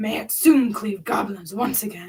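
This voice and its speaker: A woman uses a raspy, put-on character voice. She talks at a moderate pace and a fairly high pitch. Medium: read story.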